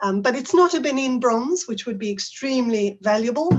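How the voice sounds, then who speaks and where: A somewhat breathy woman talks at a moderate pace. Her intonation is lively. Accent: South African. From South Africa. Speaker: teacher trainer. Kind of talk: conference talk.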